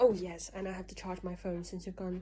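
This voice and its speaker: Dark, mellow female voice, somewhat breathy. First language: Mandarin. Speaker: vlogger. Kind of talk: casual vlog talk to camera.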